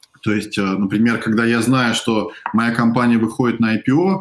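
This man has a normal speaking voice at a medium pitch. He keeps a moderate pace, with ordinary pitch variation. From Russia. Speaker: venture investor. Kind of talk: interview on a live stream.

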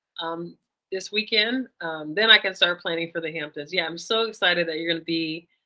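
This woman has an ordinary speaking voice with an American accent and a fairly low pitch. She talks at a fairly quick pace. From US. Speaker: podcast host. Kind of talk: casual interview.

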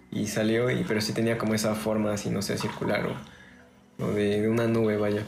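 Amid noticeable background noise and audible room echo, a man talks at a fairly quick pace in a fairly low pitch, with very even loudness and fairly even intonation. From Mexico, Orizaba, Veracruz. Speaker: podcast host and musician. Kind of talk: casual chat.

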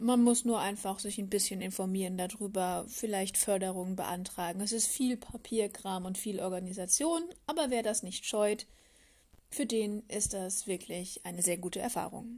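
A woman talks at a moderate pace in a dark, mellow, somewhat breathy voice at a medium pitch with ordinary pitch variation. The recording is very clean, with a silent background. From Palatinate, Germany. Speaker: podcast host. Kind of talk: solo podcast monologue.

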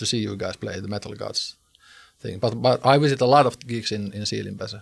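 This man's voice is fairly low in pitch with fairly even intonation, captured in a very clean recording over a silent background. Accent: Finnish. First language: Finnish. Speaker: podcast host and musician. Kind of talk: interview.

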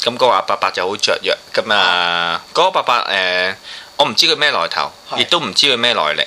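Over noticeable background noise, a man speaks at a fairly quick pace in a medium pitch, with very wide pitch swings. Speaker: photographer. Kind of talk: casual chat.

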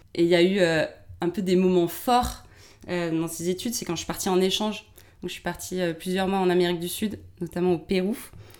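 A woman speaks at a medium pitch with fairly even intonation. Her pace is fairly quick, broken by long, frequent pauses. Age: 20s. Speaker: career reorientation coach. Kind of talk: interview.

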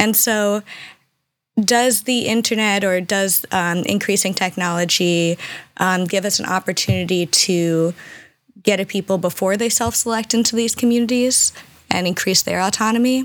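A woman with a normal speaking voice talks at medium pitch and a moderate pace, with very even loudness and ordinary pitch variation, on a very clean recording with a silent background. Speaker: podcast host. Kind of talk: casual conversation.

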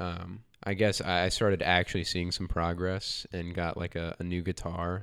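A man with an American accent speaks in a very deep, low pitch on a very clean recording with a silent background. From North Carolina, Charlotte area. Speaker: musician, guitarist. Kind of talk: casual interview chat.

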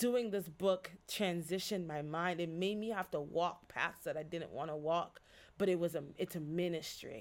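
At a moderate pace, a woman with an ordinary speaking voice talks in a fairly low pitch with ordinary pitch variation. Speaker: pastor and spoken word poet. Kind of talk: casual interview chat.

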